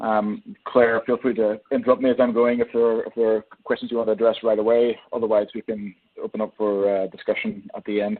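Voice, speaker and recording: This man speaks in an Irish accent at a fairly quick pace, his medium pitch held in a monotone, flat intonation. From Ireland. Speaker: energy sector economist. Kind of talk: webinar presentation. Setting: webinar. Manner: hesitant, many fillers.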